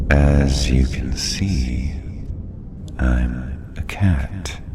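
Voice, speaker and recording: Over loud background noise, a man performs a cartoonish character voice. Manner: calm, cryptic.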